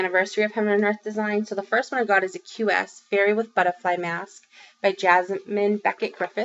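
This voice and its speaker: This woman has a Boston accent and a medium pitch. She talks at a fairly quick pace with fairly even intonation. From Massachusetts, Boston area. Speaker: crafting vlogger. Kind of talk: casual vlog update. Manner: chatty, many fillers.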